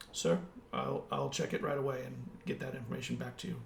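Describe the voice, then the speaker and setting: A man rattles off lines very fast in a raspy, put-on character voice against clear background noise. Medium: actual play. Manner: deferential, brisk.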